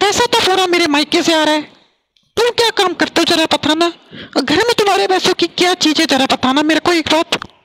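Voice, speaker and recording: A cartoonish character voice moves at a fairly quick pace with ordinary pitch variation. The sound is dry and close, with no echo. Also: woman, extremely high pitch for a woman. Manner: angry, scolding, shouting.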